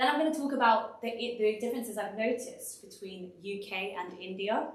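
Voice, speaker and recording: Talking at a fairly quick pace in a London accent, a woman shows ordinary pitch variation amid audible room echo. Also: fairly high pitch for a woman. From London, England. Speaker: design consultant and speaker. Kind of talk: presentation talk. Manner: casual, lots of fillers.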